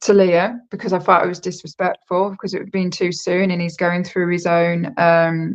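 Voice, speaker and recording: With a British accent, a woman talks at a fairly low pitch in a monotone, flat intonation, with hardly any pauses. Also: moderate pace. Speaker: psychic. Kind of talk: casual chat.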